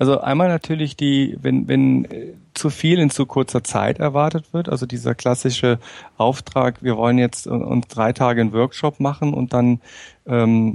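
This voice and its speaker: At a moderate pace, a man talks in a dark, mellow tone at medium pitch with ordinary pitch variation. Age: 40s. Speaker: management trainer and consultant. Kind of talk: interview. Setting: remote call.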